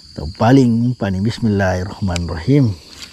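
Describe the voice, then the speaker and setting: A man's voice over noticeable background noise. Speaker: fishing vlogger. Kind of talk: casual outdoor vlog narration. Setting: outdoors by a ditch. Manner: animated.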